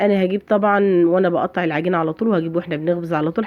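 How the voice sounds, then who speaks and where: Animated in tone, a woman with a fairly low pitch talks at a very fast pace. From Egypt, Fayoum countryside. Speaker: home cooking channel host. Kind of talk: cooking tutorial.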